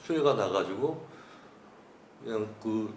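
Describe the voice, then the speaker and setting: A man speaks at a moderate pace with lively intonation, over noticeable background noise and audible room echo. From Seoul, Korea. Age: 60s. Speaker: author interviewee. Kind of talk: oral history interview. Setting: cultural center interview room. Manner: hesitant, many fillers.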